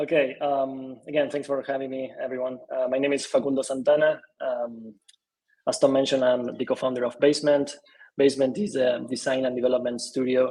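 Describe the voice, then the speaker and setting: Using monotone, flat intonation, a man with an Argentine accent speaks at a fairly quick pace. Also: medium pitch for a man. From Argentina. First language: Spanish. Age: 30s. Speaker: design studio co-founder. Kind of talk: interview.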